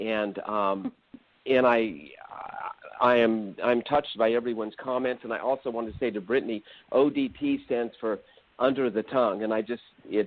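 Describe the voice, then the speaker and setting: A medium-pitched man with fairly even intonation and long, frequent pauses. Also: moderate pace. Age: 60s. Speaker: surgeon. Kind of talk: call-in comment. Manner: halting.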